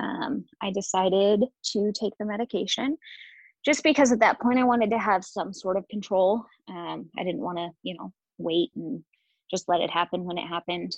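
With vocal fry, a woman speaks in a dry, close sound with no echo. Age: 30s. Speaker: podcast guest sharing miscarriage story. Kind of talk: personal testimony.

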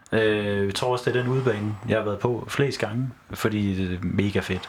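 A man's moderate-paced speech with fairly even intonation, amid noticeable background noise. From Horsens, Denmark. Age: 20s. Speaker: football fan, teacher student. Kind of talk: casual chat. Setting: studio. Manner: halting.

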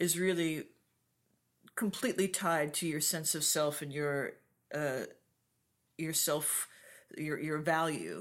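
A woman with a very deep, low pitch and fairly even intonation, on a very clean recording with a silent background. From raised abroad in Hong Kong and Japan. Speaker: ceramic artist. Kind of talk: casual conversational interview.

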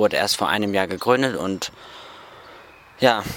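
A man with a fairly low voice speaks at a moderate tempo. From northern Germany, Rostock. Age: 20s. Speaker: Bible school student. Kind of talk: interview. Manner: hesitant with fillers.

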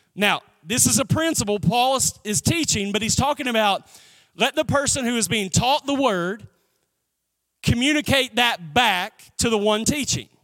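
Raised and projected, a man's voice with an extremely high pitch and a bright, sharp tone goes at a moderate pace with ordinary pitch variation in a very clean recording with a silent background. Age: 40s. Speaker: pastor. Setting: church with live audience. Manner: rhythmic, emphatic repetition building to praise breaks.

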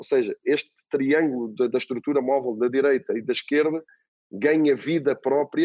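In a dry, close recording with no echo, a man with a European Portuguese accent speaks at a fairly slow pace with a fairly high pitch and fairly even intonation. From Portugal. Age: 40s. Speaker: football coach. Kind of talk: interview. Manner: halting, repeats words.

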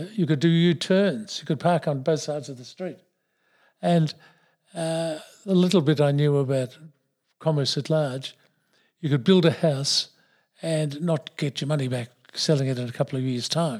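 A man with an Australian accent and fairly high pitch speaks at a moderate pace with ordinary pitch variation and long, frequent pauses, in a very clean recording with a silent background. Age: 70s. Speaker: retired pharmacist and businessman. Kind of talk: interview, reflective life story. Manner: halting, hesitant with many fillers.

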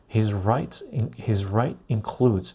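Soft-spoken and somewhat breathy, a man with a fairly low, dark, mellow voice speaks in a very clean recording with a silent background. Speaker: video creator reading aloud. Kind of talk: formal newsreading of a legal text, reading aloud. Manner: measured, even and deliberate, slightly halting with self-corrections.

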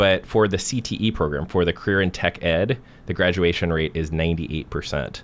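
At a moderate pace, a man with an American accent speaks in a very deep, low voice with ordinary pitch variation. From US Pacific Northwest, Portland area. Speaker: professor and political candidate. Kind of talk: interview. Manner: halting.

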